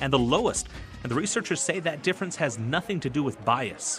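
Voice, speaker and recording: A man talks at a very fast pace with a fairly high pitch and lively intonation while music plays in the background. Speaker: sports reporter. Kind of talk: TV news sports report.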